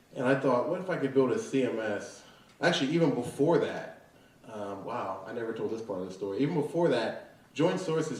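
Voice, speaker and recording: A man with an American accent at a medium pitch, fairly quick pace and ordinary pitch variation, plus audible room echo and noticeable background noise. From southwestern Pennsylvania (Fayette County). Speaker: tech startup founder. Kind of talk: interview. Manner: casual, filler-heavy.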